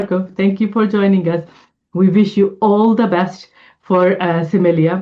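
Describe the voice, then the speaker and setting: Speaking with a non-native accent, a woman keeps a moderate pace. Her intonation is fairly even. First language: not English. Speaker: homeopath and podcast co-host. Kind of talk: casual interview chat.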